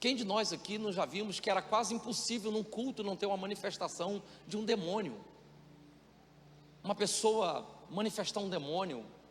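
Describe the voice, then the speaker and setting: A man's high-pitched voice with ordinary pitch variation, a moderate pace, and long, frequent pauses. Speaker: pastor. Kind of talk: sermon. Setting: church.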